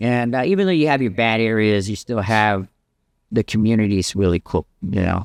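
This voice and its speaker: The man's pitch is fairly low with ordinary variation, and his loudness stays very even. The sound is dry and close, with no echo. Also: moderate pace. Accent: Californian. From California, East LA. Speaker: tattoo artist. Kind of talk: interview.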